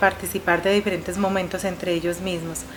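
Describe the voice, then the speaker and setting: Noticeable background noise surrounds a woman's voice. She talks at a very fast pace in a medium pitch. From Colombia. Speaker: veterans' foundation president. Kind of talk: interview.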